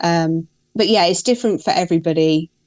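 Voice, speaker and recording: A woman's very deep, low voice with a British accent. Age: 40s. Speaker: guest with a neurological disorder. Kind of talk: interview.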